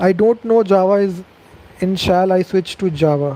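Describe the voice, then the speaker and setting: With an Indian accent, a man speaks at a fairly slow pace in a high pitch, his intonation fairly even. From India, Delhi. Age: 20s. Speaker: programming youtuber. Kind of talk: live Q&A stream. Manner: casual with fillers.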